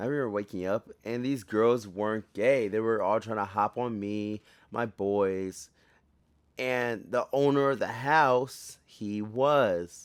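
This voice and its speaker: A man's fairly low voice at a very slow pace, with ordinary pitch variation, in a very clean recording with a silent background. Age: 20s. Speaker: soldier and podcast host. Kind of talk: casual storytelling podcast. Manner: halting, self-interrupting.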